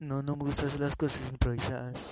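Speaking at a fairly slow pace, a man uses fairly even intonation in a dry, close sound with no echo. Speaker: amateur podcaster. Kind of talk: improvised solo monologue. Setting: outdoors in a patio. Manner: halting.

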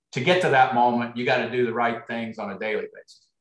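A man speaks in a Midwestern US accent. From US Midwest. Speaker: basketball coach. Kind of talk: casual interview chat.

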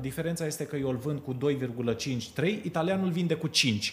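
Here a man talks in an ordinary speaking voice. His pitch is fairly high and his pace moderate. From Romania, Sibiu. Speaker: florist. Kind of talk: casual chat. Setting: hotel.

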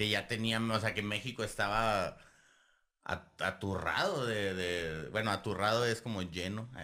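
With a Mexican accent, a man speaks at a fairly slow pace in a bright, sharp tone and fairly even intonation. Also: fairly low pitch for a man. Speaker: history podcast host. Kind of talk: casual chat.

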